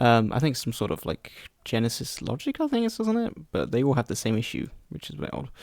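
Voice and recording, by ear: Talking at a fast pace, a man uses a medium pitch with big pitch swings, a slightly mellow tone and vocal fry, recorded with a dry, close sound with no echo.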